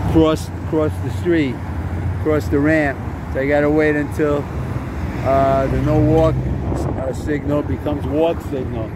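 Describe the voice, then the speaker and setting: The speech is fairly slow, the sound dry with no echo, with noticeable background noise. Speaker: walking tour narrator. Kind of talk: casual walking commentary. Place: street. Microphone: phone near.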